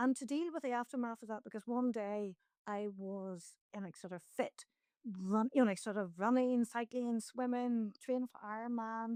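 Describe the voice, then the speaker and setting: With a Northern Irish accent, a woman speaks at a moderate pace and a fairly high pitch, with ordinary pitch variation, a dark, mellow tone and a dry, close sound with no echo. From Northern Ireland. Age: 60s. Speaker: mountaineer. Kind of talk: interview conversation.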